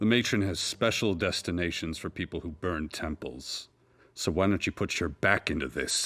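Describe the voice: Booming and very deep, a man's put-on character voice has ordinary pitch variation. He moves at a moderate pace.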